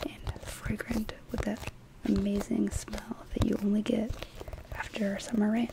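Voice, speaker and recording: Soft-spoken and whispering, the speaker goes at a fairly slow pace over noticeable background noise. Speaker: ASMR artist. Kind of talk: guided imagery relaxation. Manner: soft-spoken, whispered. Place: home room. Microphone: studio mic.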